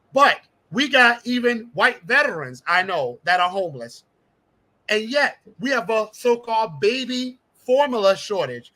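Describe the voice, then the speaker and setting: Raised and projected, a man's high, bright, sharp voice carries an animated tone and lively intonation at a fairly slow pace. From South Carolina Lowcountry, Jasper County; Gullah. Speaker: congressional candidate, teacher. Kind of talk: interview.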